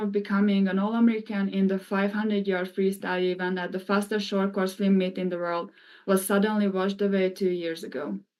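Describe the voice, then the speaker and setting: A woman with a Hungarian accent speaks at a medium pitch and a fairly quick pace. Her intonation is monotone and flat, and the recording is very clean with a silent background. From Hungary. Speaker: former college swimmer. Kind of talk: testimony. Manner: formal.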